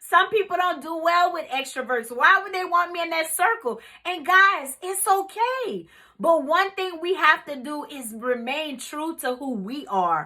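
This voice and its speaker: Raised and projected, a woman's extremely high, bright, sharp voice moves at a fairly slow pace with lively intonation and big swings in loudness. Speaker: life coach. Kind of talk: motivational talk. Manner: casual.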